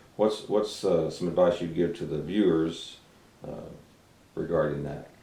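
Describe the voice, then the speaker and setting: Big swings in loudness amid audible room echo. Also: man, very deep, low pitch for a man, ordinary pitch variation, fairly slow pace. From Arkansas. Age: 50s. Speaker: talk show host, musician and actor. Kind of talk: interview. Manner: hesitant, many fillers.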